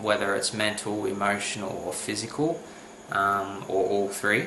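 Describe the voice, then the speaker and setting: Someone talks at a very slow pace, with audible room echo and noticeable background noise. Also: man. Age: 20s. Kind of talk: personal testimony to camera. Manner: halting, many fillers.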